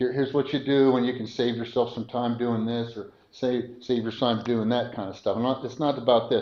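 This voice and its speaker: The speaker is a man. There is audible room echo. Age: 70s. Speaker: preacher. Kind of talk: sermon. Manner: halting; conversational.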